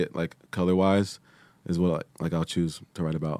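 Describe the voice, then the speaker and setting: In a very clean recording over a silent background, a man with a very deep, low pitch speaks at a moderate pace with fairly even intonation. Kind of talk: casual chat. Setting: studio.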